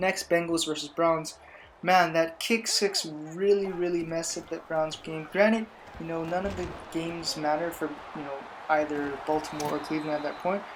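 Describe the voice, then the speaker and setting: Against noticeable background noise, a woman speaks at a moderate pace with a fairly low pitch and fairly even intonation. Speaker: gaming YouTuber giving NFL predictions. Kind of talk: casual sports commentary. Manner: loud.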